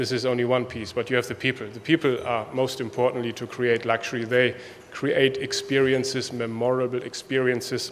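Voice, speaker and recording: A man with a German accent talks at a fairly quick pace in a medium pitch. His intonation is monotone and flat, with noticeable background noise. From Germany. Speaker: hotel executive. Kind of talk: conference speech. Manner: halting.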